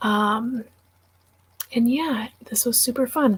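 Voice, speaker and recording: A soft-spoken woman with an American accent. She talks at a very slow pace. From Wisconsin. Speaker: book YouTuber. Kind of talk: livestream chat.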